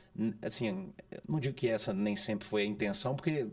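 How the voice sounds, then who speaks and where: The speaker talks at a moderate pace in a Minas Gerais accent. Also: man. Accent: mineiro. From Minas Gerais, Brazil (Santa Bárbara, near Belo Horizonte). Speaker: podcast co-host. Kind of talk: casual podcast conversation. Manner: halting, frequent repetitions and fillers.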